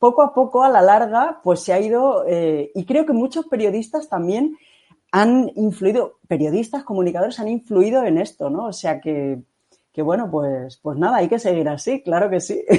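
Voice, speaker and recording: At a moderate pace, the talking unfolds over a quiet background. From Catalonia. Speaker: podcast host. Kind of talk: interview.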